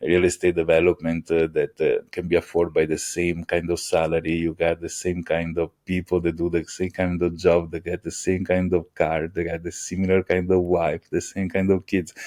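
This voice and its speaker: A man with an Italian accent speaks in a very deep, low pitch and a dark, mellow tone, his intonation monotone and flat. He barely pauses, and the background is quiet. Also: moderate pace, dry, close sound with no echo. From Italy (Venice). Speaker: AI engineer. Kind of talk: podcast interview. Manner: halting, many fillers.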